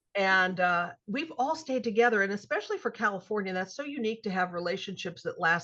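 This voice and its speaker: A woman talks at a fairly quick pace with lively intonation and an ordinary speaking voice. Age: 60s. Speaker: author and television writer. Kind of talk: interview storytelling.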